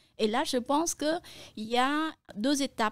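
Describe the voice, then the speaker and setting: A woman speaks in a Cambodian accent with ordinary pitch variation. The recording is very clean, the background silent, and the sound dry and close with no echo. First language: Khmer (speaking French). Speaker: translator and interpreter. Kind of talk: interview. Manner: hesitant, frequent euh fillers.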